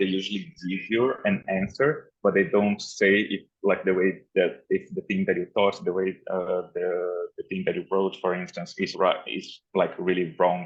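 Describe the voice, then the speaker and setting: At a fairly slow pace and with hardly any pauses, a man speaks with a non-native accent. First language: not English. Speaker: unconference participant. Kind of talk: group discussion. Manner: halting.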